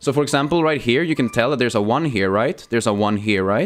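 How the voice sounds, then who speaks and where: A man talks at a very fast pace. The recording is very clean with a silent background. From Sweden. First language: Swedish. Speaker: gaming streamer. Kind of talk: casual live stream chat. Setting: live stream. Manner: casual, with many fillers.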